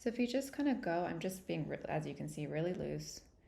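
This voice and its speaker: Vocal fry runs through a woman's medium-pitched voice. Audible room echo is present. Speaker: art teacher. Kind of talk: tutorial. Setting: livestream. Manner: casual.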